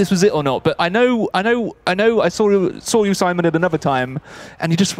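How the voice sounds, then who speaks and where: A man with a southern English accent and a high pitch, at a very fast pace with lively intonation and faint music in the background. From southeast England. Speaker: gaming streamer; streamer playing a board game. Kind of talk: casual chat. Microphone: studio mic.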